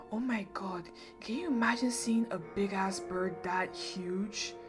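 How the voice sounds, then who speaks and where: Over music in the background, a woman with a medium pitch speaks with very wide pitch swings. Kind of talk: ASMR horror story reading, casual chatty. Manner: casual, chatty, with asides.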